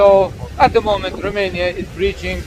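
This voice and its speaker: A man with a Chechen accent talks at a moderate pace over noticeable background noise. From Chechnya. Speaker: activist blogger. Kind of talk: explanation to police officer. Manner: halting, many fillers.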